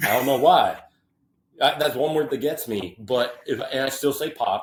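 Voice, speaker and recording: Somewhat breathy, a man with an American accent speaks at a fairly high pitch with lively intonation. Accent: Midwestern with a Southern drawl when tired. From US Midwest, western Illinois. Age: 20s. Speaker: podcast guest, university staff worker. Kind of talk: casual chat. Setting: in person, visiting host.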